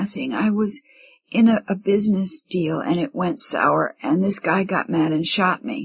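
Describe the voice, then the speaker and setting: A woman does a raspy put-on character voice at a medium pitch. She keeps a moderate pace with lively intonation. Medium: read story. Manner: terse, evasive.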